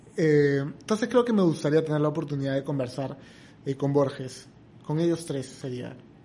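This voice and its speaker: A man talks at a moderate pace and a fairly high pitch, with ordinary pitch variation. Noticeable background noise sits behind him. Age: 30s. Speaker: comedian and entrepreneur. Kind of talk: casual chat.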